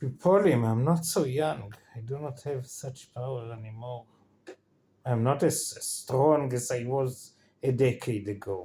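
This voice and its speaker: This man talks at a fairly slow pace with an Israeli accent. His dark, mellow tone is somewhat breathy. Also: medium pitch for a man, ordinary pitch variation. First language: Hebrew. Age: 50s. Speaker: vlogger. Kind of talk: casual vlog monologue. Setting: in bed. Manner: halting.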